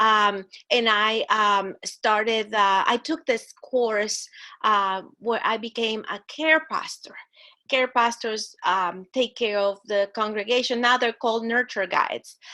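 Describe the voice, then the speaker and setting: A fairly high-pitched woman's voice in a Spanish accent, bright and sharp, very slow, with fairly even intonation over a quiet background. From Guatemala. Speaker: church ministry director. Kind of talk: interview. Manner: halting.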